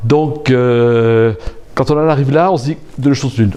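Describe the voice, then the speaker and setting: A man's lively intonation carries his fairly slow pace. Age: 60s. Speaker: aspiring coach and infopreneur. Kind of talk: interview. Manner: hesitant.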